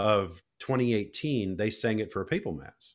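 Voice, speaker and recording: A man with an American accent talks in a fairly low pitch on a very clean recording with a silent background. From Minnesota, Alexandria. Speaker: choral conductor and composer. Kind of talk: casual interview chat.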